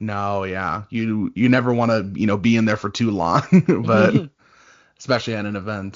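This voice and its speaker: A man with an unremarkable speaking voice, fairly low pitch, fairly even intonation and moderate pace. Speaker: digital content coordinator. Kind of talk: podcast co-host reading and reacting to stories. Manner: casual, conversational.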